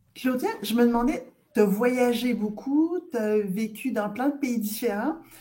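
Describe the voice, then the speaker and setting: A woman talks very slowly in a high-pitched voice with ordinary pitch variation. Her tone is dark and mellow. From Quebec. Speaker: scientific director in cosmetics. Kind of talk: interview conversation.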